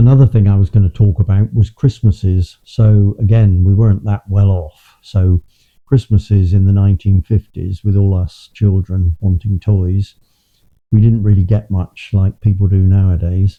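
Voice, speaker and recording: A somewhat breathy, dark and mellow voice moves at a moderate pace with very even loudness, recorded with a dry, close sound and no echo. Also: man, fairly low pitch for a man, fairly even intonation. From England, Bristol. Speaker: interviewee recalling childhood. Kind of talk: personal reminiscence. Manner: halting, repeats words.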